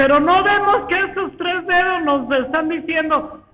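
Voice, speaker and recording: A woman speaks at an extremely high pitch with ordinary pitch variation, at a fairly slow pace. The recording has audible room echo and noticeable background noise. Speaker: preacher. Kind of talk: sermon. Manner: animated.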